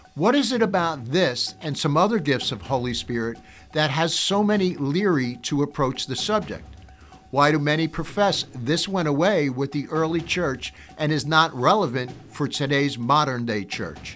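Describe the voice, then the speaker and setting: He talks at a moderate pace. Faint music can be heard behind him. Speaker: podcast host. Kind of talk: promotional teaser monologue. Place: studio. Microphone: studio mic.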